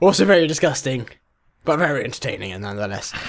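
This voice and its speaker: His pitch rises and falls across a very wide range, with vocal fry throughout. The man's delivery moves at a fairly quick clip. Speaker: video creator. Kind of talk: casual reaction vlog chat. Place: home room. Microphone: webcam.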